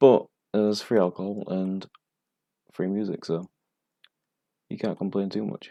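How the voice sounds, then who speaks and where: A man with a strong northern English accent, fairly low pitch and monotone, flat intonation, at a moderate pace with long, frequent pauses, in a dry, close sound with no echo. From northern England. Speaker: bartender streaming flair tutorials. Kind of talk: casual live-stream tutorial.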